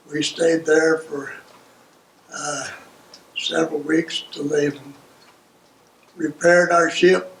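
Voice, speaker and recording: Over noticeable background noise, a man with a fairly high pitch speaks at a very slow pace in a monotone, flat intonation, leaving long, frequent pauses. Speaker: World War II navy veteran. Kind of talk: oral history interview answer.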